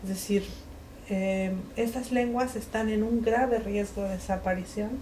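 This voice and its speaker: Speech at a moderate pace in a Mexican accent, with audible room echo and noticeable background noise. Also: woman. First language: Mixe (speaking Spanish). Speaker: writer and linguist. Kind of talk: book presentation talk. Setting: bookshop event with audience. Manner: hesitant, many fillers.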